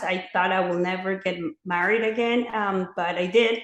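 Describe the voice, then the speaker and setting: A woman with a Mexican accent speaks with ordinary pitch variation, and audible room echo surrounds her voice. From Mexico City, Mexico. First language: Spanish. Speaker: former clinic director turned pro-life advocate. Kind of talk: interview testimony.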